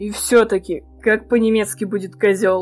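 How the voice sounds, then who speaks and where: A female-sounding, growling put-on character voice at a medium pitch and moderate pace, with faint music in the background. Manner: growling, questioning.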